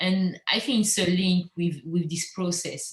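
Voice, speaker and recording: A woman with a French accent talks at a fairly slow pace and medium pitch. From Normandy, France, teen years in Guadeloupe. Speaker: visual artist. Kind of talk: interview. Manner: halting.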